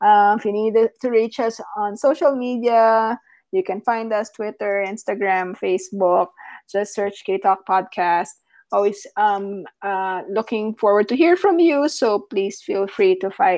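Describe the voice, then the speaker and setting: In a quiet background, a woman speaks at a very slow pace. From Philippines. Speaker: podcast co-host. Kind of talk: casual chat.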